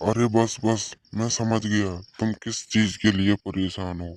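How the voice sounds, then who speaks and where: In a very clean recording with a silent background and a dry, close sound with no echo, a man does a cartoonish character voice at a fairly low pitch, with monotone, flat intonation and a moderate pace. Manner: friendly, familiar.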